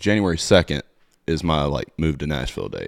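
A man's very deep, low voice with an Alabama accent, fairly quick, ordinary pitch variation, dry and close with no echo, on a very clean recording with a silent background. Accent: Southern US (Alabama). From US South, Alabama (Satsuma, near Mobile). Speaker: tour manager. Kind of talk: casual interview chat.

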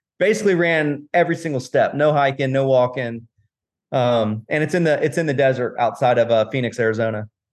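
Speaking with an American accent, a man has an ordinary speaking voice at medium pitch. He moves at a fairly quick pace with ordinary pitch variation. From Florida, Tampa. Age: 40s. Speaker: real estate investor and ultra runner. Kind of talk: casual interview chat.

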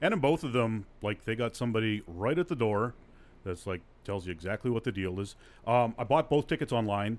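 A man with a plain, everyday voice speaks at a fairly quick pace, medium in pitch, with lively intonation. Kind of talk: casual chat.

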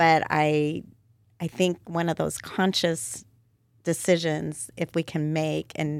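A woman's voice comes through a very clean recording with a silent background and a dry, close sound with no echo. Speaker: nonprofit co-founder. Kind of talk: casual interview.

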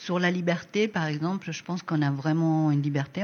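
A woman is speaking here. Her pitch is fairly low and her pace moderate. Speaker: design school coordinator. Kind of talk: casual interview.

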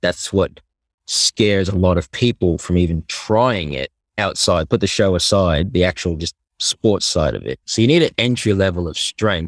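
The man's pitch is very deep and low. The sound is dry and close with no echo, on a very clean recording with a silent background. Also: ordinary pitch variation, moderate pace. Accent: Australian. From Australia. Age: 20s. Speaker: athlete. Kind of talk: casual chat.

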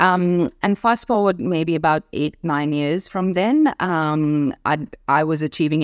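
Recorded very cleanly against a silent background, with a dry, close sound and no echo, a woman speaks with a very deep, low pitch. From India. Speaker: entrepreneur and business mentor. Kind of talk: interview conversation.

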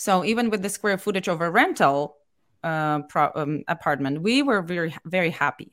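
It moves at a moderate pace. This is a plain, everyday voice. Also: woman, fairly low pitch for a woman, lively intonation. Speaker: real estate investor. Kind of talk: interview. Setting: video call.

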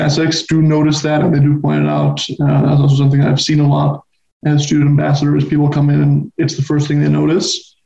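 Speaking at a fairly quick pace, a man uses a fairly high, somewhat breathy voice with a dark, mellow tone. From Spain, Barcelona. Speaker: university student. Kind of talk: casual interview.

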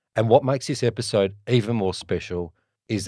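On a very clean recording with a silent background, a man talks in an Australian accent. His intonation stays fairly even. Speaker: podcast host. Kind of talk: casual interview chat; scripted intro.

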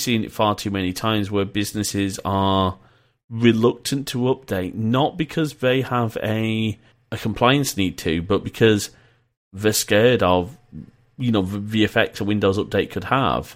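On a very clean recording with a silent background, a man with a northern English accent speaks fairly slowly in a fairly low voice, with ordinary pitch variation. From northern England (Preston, then Leeds, Yorkshire). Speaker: podcast host. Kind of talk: casual chat. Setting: VoIP call.

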